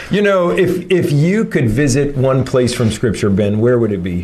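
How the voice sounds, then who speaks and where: With audible room echo and noticeable background noise, a man speaks at a moderate pace, his loudness very even while his pitch swings very widely. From Canada. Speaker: church podcast host, pastor. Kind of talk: casual chat.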